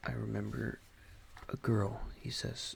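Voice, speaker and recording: A soft-spoken man talks in a calm tone. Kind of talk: ASMR audiobook reading. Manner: soft-spoken, calm.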